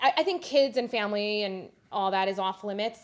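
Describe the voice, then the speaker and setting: This is a woman speaking. She talks with a New Jersey accent. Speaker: online reality game player. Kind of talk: interview. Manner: casual.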